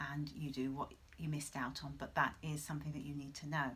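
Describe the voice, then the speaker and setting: A woman talks at a moderate pace. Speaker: travel reviewer. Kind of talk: casual review.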